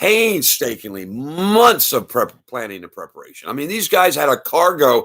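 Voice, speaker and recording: Barely pausing, a man speaks in an animated tone with big swings in loudness. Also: moderate pace, very clean recording, silent background. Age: 60s. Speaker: live streamer. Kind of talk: casual monologue. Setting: live stream. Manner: animated, rambling with many restarts.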